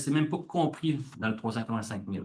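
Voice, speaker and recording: The speaker has a Quebec accent and a somewhat breathy voice with lively intonation. Room echo is audible. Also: man. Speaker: government official. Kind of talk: conference presentation. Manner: fast.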